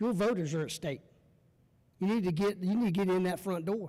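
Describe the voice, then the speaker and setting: High-pitched for a man, his dark, mellow voice shows ordinary pitch variation. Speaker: lobbyist or advocate, former police officer. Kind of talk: panel Q&A at a meetup. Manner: fast when pitching; animated, conversational.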